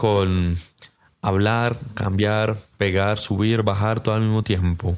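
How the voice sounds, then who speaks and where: A man speaks with fairly low pitch and ordinary pitch variation. It is an ordinary speaking voice. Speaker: podcast host. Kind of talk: casual interview.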